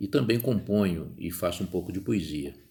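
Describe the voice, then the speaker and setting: A man talks at a moderate pace in a fairly low, somewhat breathy voice with ordinary pitch variation. The recording is very clean, with a silent background. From Rio de Janeiro, Brazil. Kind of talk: podcast monologue. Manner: conversational.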